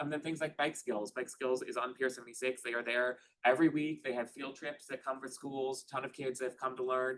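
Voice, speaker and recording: A man speaks at a medium pitch and a fairly quick pace, with hardly any pauses. His intonation stays fairly even. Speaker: park programming staff presenter. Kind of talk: board meeting presentation. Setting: meeting room, also streamed on Zoom. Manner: fast; many filler ums.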